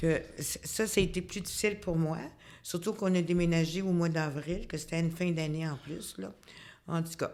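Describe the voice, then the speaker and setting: This woman has a fairly low pitch and fairly even intonation. She speaks at a moderate pace. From Quebec (Quebec City, then Montreal from age 8). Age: 60s. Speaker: retired community housing worker. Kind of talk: interview. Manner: halting, many hesitations.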